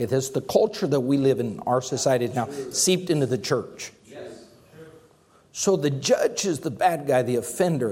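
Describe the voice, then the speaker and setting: An unremarkable speaking voice from a man of medium pitch, fairly quick and lively in intonation. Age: 50s. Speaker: pastor. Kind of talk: sermon.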